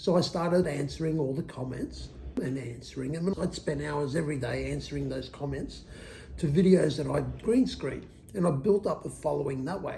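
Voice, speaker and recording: At a moderate pace, a man with a fairly high pitch speaks in a dark, mellow tone marked by vocal fry. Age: old. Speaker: YouTuber. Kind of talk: casual talk to camera, personal story.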